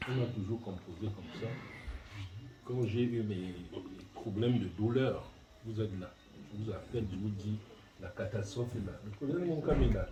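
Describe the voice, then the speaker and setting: Fairly low male voice with ordinary pitch variation and long, frequent pauses, plus audible room echo and noticeable background noise. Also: moderate pace. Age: 60s. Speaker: family elder giving a thank-you speech. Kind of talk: speech at a family reception. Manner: halting, hesitant.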